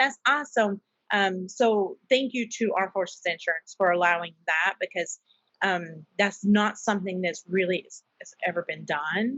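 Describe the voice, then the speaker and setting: Speaking at a moderate pace with a Southern US accent, a woman uses medium pitch, ordinary pitch variation and big swings in loudness. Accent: Southern US country. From US South, South Carolina. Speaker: nonprofit founder and military spouse. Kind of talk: podcast interview. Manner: animated.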